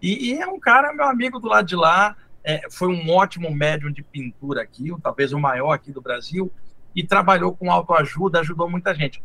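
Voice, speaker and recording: Bright and sharp in tone, a man's high voice moves at a moderate pace with lively intonation. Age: 60s. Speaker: spiritual teacher. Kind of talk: casual interview.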